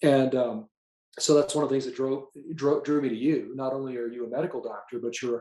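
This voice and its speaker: A man with an unremarkable speaking voice, fairly high in pitch, at a fairly quick pace. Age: 60s. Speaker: patient sharing testimonial. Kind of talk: testimony. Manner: casual with frequent fillers.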